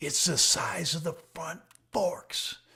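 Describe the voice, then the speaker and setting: A quiet, raspy whisper in a put-on character voice. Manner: whispering, secretive.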